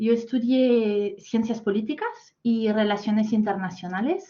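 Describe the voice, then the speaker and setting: Somewhat breathy, a woman with a French accent speaks at a very slow pace in a fairly high pitch with fairly even intonation. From France. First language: French (speaking Spanish). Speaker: corporate talent manager. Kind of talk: masterclass talk. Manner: hesitant, many fillers.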